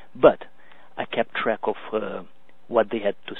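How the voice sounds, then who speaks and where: A man speaks with a Hungarian accent. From Romania, Hungarian minority. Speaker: business coach. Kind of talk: webinar presentation. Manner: halting, many fillers.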